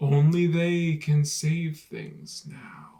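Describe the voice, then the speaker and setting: A put-on character voice pitched in the middle range. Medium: read story. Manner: grave, mysterious.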